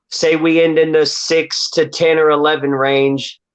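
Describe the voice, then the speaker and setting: This voice belongs to a man. His pitch is fairly high. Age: 40s. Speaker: caller. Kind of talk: casual chat. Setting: phone call.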